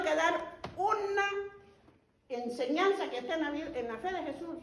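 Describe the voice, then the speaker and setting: The tone is animated, with ordinary pitch variation. Some room echo can be heard. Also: woman. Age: 70s. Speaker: lay preacher. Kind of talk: sermon.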